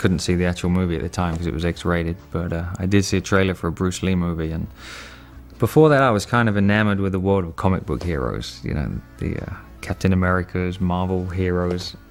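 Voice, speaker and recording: Over music in the background, a man with an English accent and a very deep, low pitch speaks at a very fast pace with ordinary pitch variation. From England. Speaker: actor and martial artist. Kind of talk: interview answer. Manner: casual.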